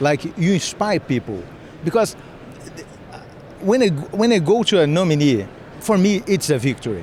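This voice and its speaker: Over noticeable background noise, a man with a Brazilian accent speaks at a moderate pace in a high voice, using lively intonation, very even loudness and long, frequent pauses. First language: Portuguese. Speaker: cybersecurity defender. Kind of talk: interview. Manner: halting.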